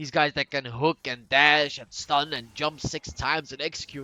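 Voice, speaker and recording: A man speaks with a Danish accent. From Denmark. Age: 20s. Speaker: gaming commentator. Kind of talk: gameplay commentary. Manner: animated.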